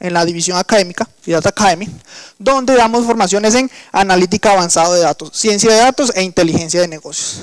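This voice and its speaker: A man speaks at a very fast pace with a Colombian coastal accent, his high pitch moving with ordinary pitch variation in a dry, close sound with no echo. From Colombian Caribbean coast. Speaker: engineer and workshop instructor. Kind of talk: lecture. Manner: hesitant, with fillers.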